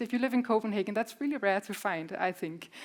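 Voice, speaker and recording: Here a woman talks at a fairly quick pace. Her pitch is fairly high. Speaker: postdoctoral researcher presenting at a conference. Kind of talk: conference presentation. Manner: fast.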